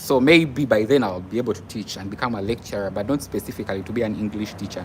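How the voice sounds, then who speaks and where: A fairly low-pitched man at a fairly quick pace, with ordinary pitch variation and noticeable background noise. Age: 20s. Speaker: nurse and live streamer. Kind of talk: casual live stream chat.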